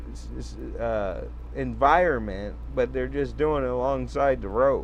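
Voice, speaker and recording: Someone talks at a fairly slow pace, with audible room echo in the recording. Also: man. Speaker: sovereign-citizen commentator. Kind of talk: reading aloud with commentary. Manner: halting, stumbles on words.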